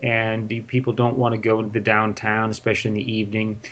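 A man speaks with an American accent. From Northern California, near San Francisco. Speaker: businessman in equipment finance. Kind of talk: interview for English learners.

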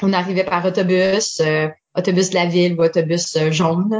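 A woman's fairly low-pitched voice, monotone and flat in intonation. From Eastern Ontario (Franco-Ontarian, Orléans/Ottawa). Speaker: improv performer. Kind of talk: casual interview.

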